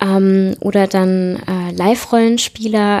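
Very slow pace with fairly even intonation. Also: woman. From southern Germany, small town. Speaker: web developer. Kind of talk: interview. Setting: at her home.

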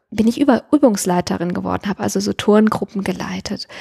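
This woman talks at a moderate pace in a medium pitch. The sound is dry and close, with no echo. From Siegerland, western Germany. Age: 40s. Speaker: former marketing worker turned alpine herder. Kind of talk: personal life-story interview. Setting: at home on a sofa.

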